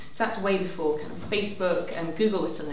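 With audible room echo and light background noise, a woman speaks with ordinary pitch variation. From northern England, County Durham. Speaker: civil liberties campaigner. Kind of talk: panel debate. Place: hall.

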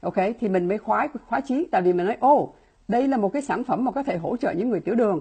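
Somewhat breathy and fairly high in pitch, a woman talks at a very fast pace with very wide pitch swings against a quiet background. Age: 60s. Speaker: laboratory scientist and supplement distributor; presenter. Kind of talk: product presentation. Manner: fast talker; filler-heavy, halting. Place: home room. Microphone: earbuds.

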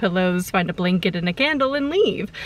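Recorded dry with no echo, a woman speaks. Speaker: vlogger. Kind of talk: casual vlog chat. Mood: mildly disappointed, hot. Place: car. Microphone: phone near.

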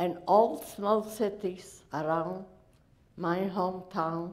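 Her pitch is fairly low for a woman. Her intonation stays fairly even. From Poland, Lodz; Poland. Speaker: Holocaust survivor. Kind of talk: testimony. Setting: stage with audience. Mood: earnest, grave storytelling. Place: hall.

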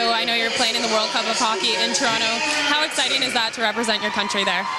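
Against crowd noise in the background, a woman speaks at a very fast pace with hardly any pauses, her sound dry with no echo. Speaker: sports host, anchor, reporter. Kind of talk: sports reporter interview questions. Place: stadium. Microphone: handheld.

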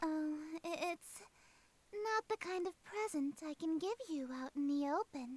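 In a put-on character voice, a female-sounding voice speaks at a fairly slow pace with long, frequent pauses and an extremely high pitch. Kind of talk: formal, old-fashioned politeness. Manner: prim, insistent, then indignant.

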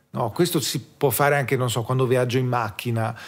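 On a very clean recording with a silent background, a man speaks at a fairly quick pace and medium pitch, somewhat breathy. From South Tyrol, Italy. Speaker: drummer. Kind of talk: casual chat.

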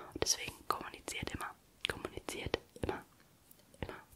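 A woman is whispering. Her pace is fairly quick. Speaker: ASMR creator. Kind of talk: casual ASMR chat about relationships. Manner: whispered. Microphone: studio mic.

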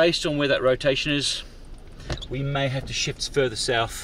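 A man speaks at a medium pitch with a fairly bright tone. His intonation stays fairly even at a moderate pace.

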